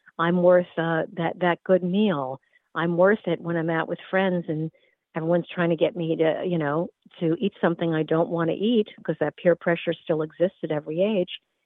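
Her voice is an unremarkable speaking voice, fairly low for a woman, delivered at a moderate pace with fairly even intonation. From US Northeast. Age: 60s. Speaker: wellness educator. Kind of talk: interview.

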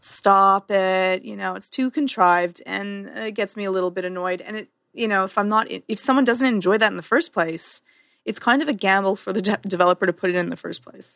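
With an unremarkable speaking voice at medium pitch, a woman talks at a fairly quick pace, her loudness swinging widely. The recording is very clean with a silent background, and the sound is dry and close with no echo. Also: ordinary pitch variation. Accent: Canadian. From Canada. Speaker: podcast co-host. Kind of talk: casual chat.

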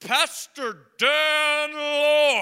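A put-on character voice, high in pitch, with monotone, flat intonation. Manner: dramatic.

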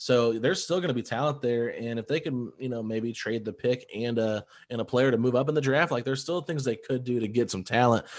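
A man's plain, everyday voice at medium pitch, with ordinary pitch variation, a fairly quick pace and hardly any pauses, over a quiet background. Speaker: basketball podcaster. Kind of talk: casual chat.

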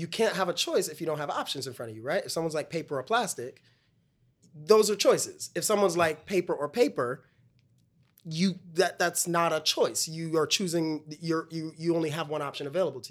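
In a very clean recording with a silent background, a man with an American accent speaks at a high pitch with ordinary pitch variation and big swings in loudness. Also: fairly quick pace. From Brooklyn, New York (West Indian family). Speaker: stage actor. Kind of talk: casual chat.

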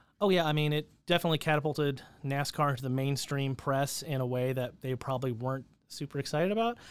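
Speaking with an American accent at a very fast pace, a man uses a fairly high voice with ordinary pitch variation in a very clean recording with a silent background. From California. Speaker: motorsport event organizer and automotive journalist. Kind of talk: interview.

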